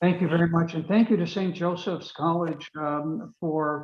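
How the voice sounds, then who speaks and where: A man speaks in a Maine accent, his pitch fairly high. His intonation stays fairly even. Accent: Maine Yankee. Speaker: author and webinar speaker. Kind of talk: closing remarks at a webinar.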